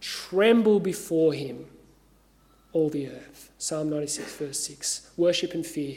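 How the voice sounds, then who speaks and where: Audible room echo surrounds a man with an Australian accent and a fairly high pitch. He speaks at a fairly slow pace with ordinary pitch variation and big swings in loudness. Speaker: pastor. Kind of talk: sermon.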